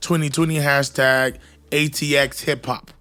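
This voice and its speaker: Music in the background beneath a fairly high-pitched male voice. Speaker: podcast co-host and rapper. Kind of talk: casual chat. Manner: loud.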